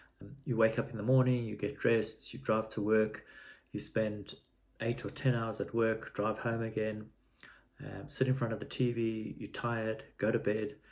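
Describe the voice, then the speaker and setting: A man's medium-pitched voice with fairly even intonation and vocal fry. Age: 60s. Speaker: vlogger. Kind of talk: personal video diary. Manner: halting, with fillers and repetitions.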